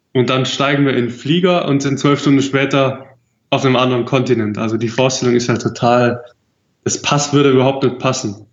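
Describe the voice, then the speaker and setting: A man's medium-pitched voice at a moderate pace. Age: 20s. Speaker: traveller. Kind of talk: casual interview.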